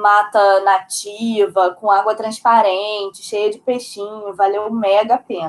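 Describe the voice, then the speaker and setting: This woman talks at a very slow pace. Her pitch is fairly high. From Brazil. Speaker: podcast co-host. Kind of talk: casual chat.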